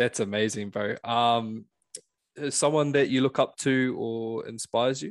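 A man with a New Zealand accent talks at a fairly slow pace and medium pitch with fairly even intonation, the sound dry and close with no echo over a quiet background. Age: 20s. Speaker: podcast host. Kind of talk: casual interview.

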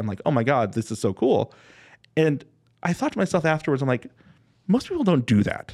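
With an American accent and a plain, everyday voice, a man talks at a fairly quick pace with lively intonation on a very clean recording with a silent background. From Los Angeles, US. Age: 40s. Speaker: podcast co-host. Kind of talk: casual chat.

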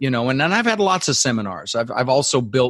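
Energetic in tone, a man speaks at a medium pitch with lively intonation. The sound is dry and close, with no echo. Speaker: real estate investor and goal-setting coach. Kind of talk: interview.

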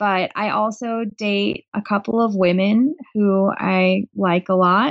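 This woman talks with a West Coast accent and fairly even intonation. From Portland, Oregon, US Pacific Northwest. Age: 30s. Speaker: writer and high school teacher. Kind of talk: casual interview.

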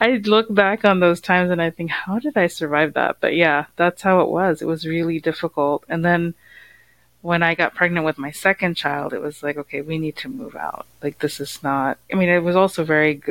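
With an American accent, the speaker has an unremarkable speaking voice, ordinary pitch variation and a moderate pace, recorded very cleanly against a silent background in a dry, close sound with no echo. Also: woman, fairly low pitch for a woman. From US, South Indian American family. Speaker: narcissistic abuse recovery coach. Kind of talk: personal testimony in interview.

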